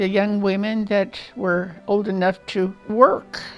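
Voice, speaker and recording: Music plays in the background as a woman with an American accent speaks very slowly. Her medium-pitched voice keeps a fairly even intonation. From Illinois, US Midwest. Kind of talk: oral history interview answer.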